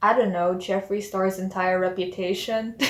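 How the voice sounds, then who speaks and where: Soft-spoken, a woman talks at a moderate pace. Her medium pitch shows ordinary variation. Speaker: vlogger. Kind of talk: casual storytime vlog. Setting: at home late at night. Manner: quiet, lowered voice.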